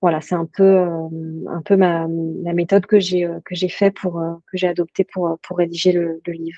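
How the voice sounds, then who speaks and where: Fairly low in pitch and fairly slow, a woman speaks in monotone, flat intonation with a dark, mellow tone, in a dry, close sound with no echo. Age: 30s. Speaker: health journalist and author. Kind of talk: interview. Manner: halting.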